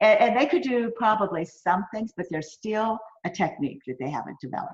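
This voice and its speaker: A woman's animated, fairly high voice with very wide pitch swings at a fairly quick pace. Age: 60s. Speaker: pole sports athlete. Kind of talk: interview.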